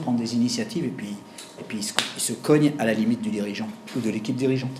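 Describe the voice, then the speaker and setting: With audible room echo and noticeable background noise, a man talks at a very fast pace. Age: 60s. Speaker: executive coach. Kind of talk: lecture. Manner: halting.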